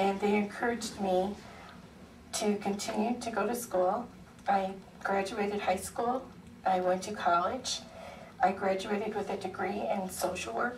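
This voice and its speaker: Speaking with an American accent and fairly even intonation, a woman leaves long, frequent pauses amid noticeable background noise and audible room echo. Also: medium pitch for a woman, moderate pace. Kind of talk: public testimony. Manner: halting, many fillers.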